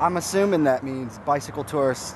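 A man's voice in dry sound with no echo, over noticeable background noise. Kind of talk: casual vlog chat. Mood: relaxed, mildly wry. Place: street. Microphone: phone near.

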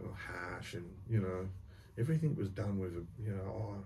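A man with a very deep, low pitch and a dark, mellow, somewhat breathy tone talks at a fairly quick pace with ordinary pitch variation over light background noise. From Australia. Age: 50s. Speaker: former prisoner, reformed bank robber. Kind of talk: storytelling interview, casual talk. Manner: casual, colloquial, swears. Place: studio.

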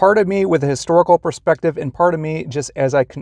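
A man at a moderate pace, dry sound with no echo, against a quiet background. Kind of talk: casual vlog chat. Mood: excited and nervous. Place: car. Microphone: lapel.

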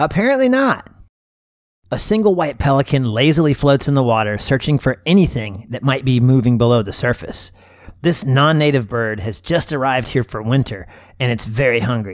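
An ordinary speaking voice at a moderate pace. The intonation is lively. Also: man, medium pitch for a man. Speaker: wildlife photographer and video creator. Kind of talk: scripted nature documentary narration over footage. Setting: video voiceover. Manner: measured, smooth, storytelling tone with gentle wonder; lightly playful and warm, like a documentary narrator.

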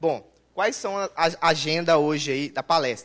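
An unremarkable speaking voice from a man, fairly high in pitch. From Brazil, Governador Valadares, Minas Gerais; Minas Gerais, Brazil. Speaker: database consultant and conference speaker; conference presenter. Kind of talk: technical conference talk. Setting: conference room with audience. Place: hall.

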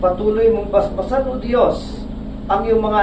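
A man's high-pitched, solemn voice with fairly even intonation, over noticeable background noise. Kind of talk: fervent prayer. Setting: outdoors at ship blessing. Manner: solemn, earnest, imploring.

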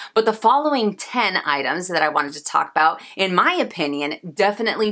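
Over a quiet background, a woman speaks at a moderate pace in a bright, sharp tone. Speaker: fashion vlogger. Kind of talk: casual vlog chat. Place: home room.

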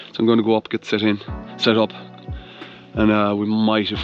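Faint music plays behind a man speaking fairly quickly in a fairly low voice, the sound dry with no echo. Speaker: adventure vlogger. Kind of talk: casual vlog chat. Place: waterside. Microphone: phone near.

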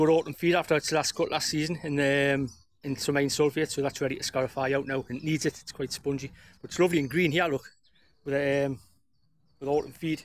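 Speaking very fast in a flat monotone, the man comes across dry, with no echo. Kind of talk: casual vlog chat. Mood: wry, resigned about rain. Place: garden. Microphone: phone near.

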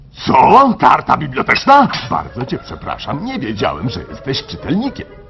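A man puts on a cartoonish character voice pitched high. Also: moderate pace. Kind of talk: film and cartoon dubbing.

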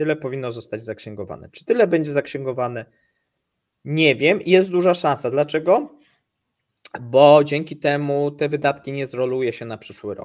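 Over a quiet background, a man talks at a moderate pace with ordinary pitch variation and big swings in loudness. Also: fairly high pitch for a man. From Poland. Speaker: economics news channel co-host. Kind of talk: live stream chat with viewers. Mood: relaxed, festive. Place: home room. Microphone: video call.

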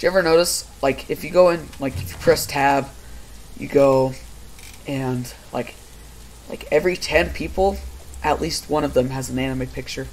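Music plays in the background as the speaker goes at a moderate pace with ordinary pitch variation and big swings in loudness. Long pauses come often. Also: man, fairly high pitch for a man. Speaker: gaming YouTuber. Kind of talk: casual gameplay chat. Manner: casual, laid-back.

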